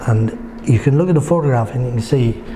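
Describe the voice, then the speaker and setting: A man talks in a Geordie accent. There is noticeable background noise. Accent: north-east English (Geordie). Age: 70s. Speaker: local history writer and photographer. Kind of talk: interview answer.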